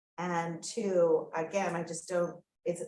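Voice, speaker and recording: In a North American accent, a woman with an unremarkable speaking voice talks fairly slowly at a fairly low pitch. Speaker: audience member, agricultural policy official. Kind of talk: Q&A question from the floor.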